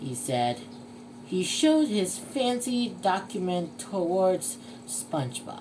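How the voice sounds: The clip is spoken in a natural reading voice.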